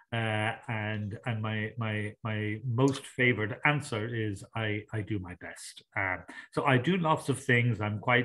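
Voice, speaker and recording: With an Irish accent, a man talks at a very slow pace with medium pitch and ordinary pitch variation. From Ireland. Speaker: sustainability consultant and coach. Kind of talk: interview.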